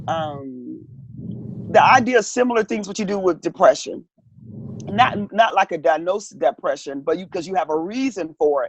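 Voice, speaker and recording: A woman speaks at a moderate pace with a medium pitch and lively intonation, in an ordinary speaking voice. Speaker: counselor. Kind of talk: interview.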